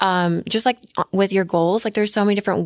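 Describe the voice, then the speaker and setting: A very clean recording with a silent background, dry and close with no echo, capturing an ordinary speaking voice with an American accent. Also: woman. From Oklahoma. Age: 30s. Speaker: fitness model. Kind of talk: casual chat.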